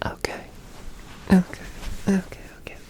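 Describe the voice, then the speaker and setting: Whispering at a fairly slow pace. Background noise is noticeable. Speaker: ASMR creator. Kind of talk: unscripted sleepy ASMR ramble. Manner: soft-spoken, whispered.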